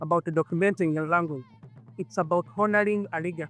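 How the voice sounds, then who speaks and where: Over music in the background, a man talks at a moderate pace with ordinary pitch variation, the sound dry and close with no echo. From Uganda. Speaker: linguist. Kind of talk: personal digital story narration.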